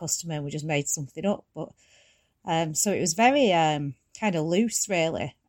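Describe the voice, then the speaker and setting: This is a woman speaking. She has a Manchester accent. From Tameside, Greater Manchester, England. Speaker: former soap actress. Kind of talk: interview.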